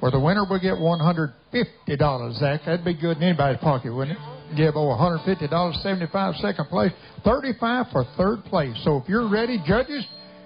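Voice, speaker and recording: Over faint music in the background, a man talks at a moderate pace with long, frequent pauses. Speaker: contest announcer. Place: stage.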